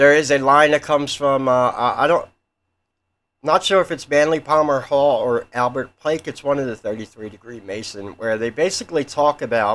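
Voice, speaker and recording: A man's mumbling at a fairly high pitch and moderate pace, with ordinary pitch variation, on a very clean recording with a silent background. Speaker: conspiracy theory youtuber. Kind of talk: casual monologue.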